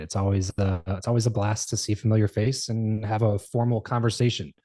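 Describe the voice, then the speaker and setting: Very fast and somewhat breathy, a man with an American accent speaks in a dark, mellow tone, the sound dry and close with no echo against a quiet background. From Southern California. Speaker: entrepreneur and podcaster. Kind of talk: interview conversation. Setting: podcast interview.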